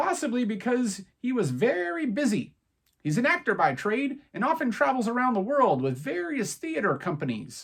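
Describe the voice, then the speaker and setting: Putting on a character voice, a man talks at a moderate pace and high pitch with very wide pitch swings. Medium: read story. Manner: brisk, businesslike.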